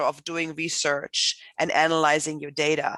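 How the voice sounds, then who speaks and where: With a German accent, the voice has a bright, sharp tone and a dry, close sound with no echo over a quiet background. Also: woman. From Germany. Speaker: professor. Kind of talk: panel introduction.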